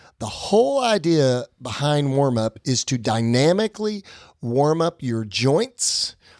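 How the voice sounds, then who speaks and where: A man with a plain, everyday voice at medium pitch speaks with lively intonation, recorded very cleanly with a silent background and a dry, close sound with no echo. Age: middle-aged. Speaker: fitness podcast host. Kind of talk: podcast chat.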